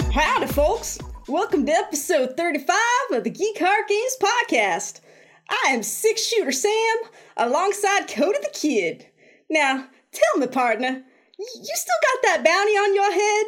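In a put-on character voice, the speaker talks at a moderate pace with extremely high pitch and very wide pitch swings. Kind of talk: folksy, playful.

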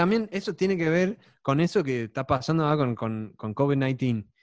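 Against a quiet background, the speaker talks at a fairly slow pace with very wide pitch swings. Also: man. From Texas. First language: English (speaking Spanish). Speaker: data scientist, former math teacher. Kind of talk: casual chat. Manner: halting, with many repeated words.

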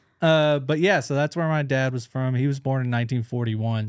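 In a Southern US accent, a man talks at a moderate pace on a very clean recording with a silent background. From rural Tennessee, US South. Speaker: stand-up comedian. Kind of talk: casual chat.

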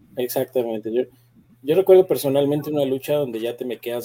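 A man talks with a Mexican accent. His pitch varies in an ordinary way. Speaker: podcast co-host. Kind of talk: casual chat.

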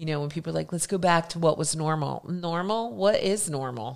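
A woman with an ordinary speaking voice, fairly low in pitch, with an American accent, on a very clean recording with a silent background. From Philadelphia and New Jersey, US. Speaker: hairdresser and beauty educator. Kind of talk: casual chat.

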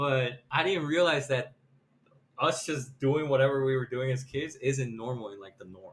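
An unremarkable speaking voice at a moderate pace, with ordinary pitch variation and big swings in loudness. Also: man, medium pitch for a man. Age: 20s. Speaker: podcast co-host. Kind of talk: casual chat.

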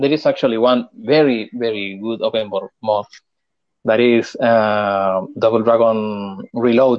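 A medium-pitched man with a Spanish accent talks at a fairly slow pace. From Chile. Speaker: game developer. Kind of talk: interview. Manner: halting.

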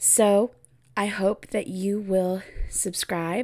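The speech comes with a West Coast accent and ordinary pitch variation. The recording is very clean, with a silent background. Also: woman. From US Pacific Northwest, Oregon. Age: 20s. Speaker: podcast host, special education teacher. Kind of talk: casual solo podcast monologue.

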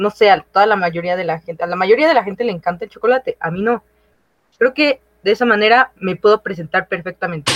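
A woman with a medium pitch rushes along at a very fast pace, varying her pitch in an ordinary way. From Mexico, outside Mexico City. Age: 20s. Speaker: recent university graduate. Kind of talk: casual chat.

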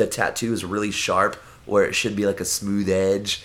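A man with an American accent, fairly low pitch, an animated tone and a moderate pace. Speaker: punk musician. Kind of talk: casual chat. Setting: at home.

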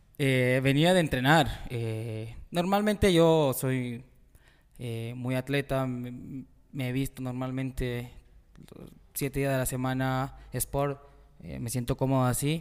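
A man speaks very slowly at a medium pitch with ordinary pitch variation in a very clean recording with a silent background. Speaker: football goalkeeper and coach. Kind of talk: casual interview.

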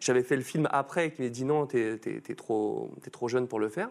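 A fairly quick pace with ordinary pitch variation. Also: man. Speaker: stream host and voice actor. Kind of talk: casual chat, sponsored intro. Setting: studio, live stream with chat. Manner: animated, jokey.

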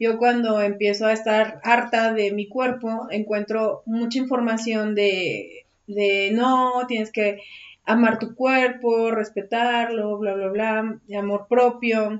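Very slowly and with monotone, flat intonation, a woman speaks at a fairly high pitch. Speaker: podcast co-host. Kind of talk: casual chat.

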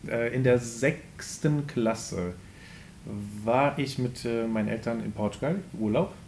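A man speaks very slowly at a medium pitch, with ordinary pitch variation and long, frequent pauses. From Germany, Remscheid area. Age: 20s. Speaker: podcast co-host, self-employed. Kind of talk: casual chat.

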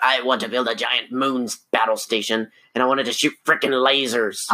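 A man puts on a raspy character voice, speaking at a moderate pace and medium pitch. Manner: menacing.

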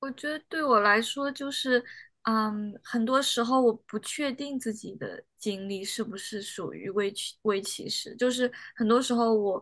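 This woman has an ordinary speaking voice at a fairly high pitch with ordinary pitch variation. The background is quiet. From China. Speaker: doctoral student in clinical psychology. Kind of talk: casual discussion.

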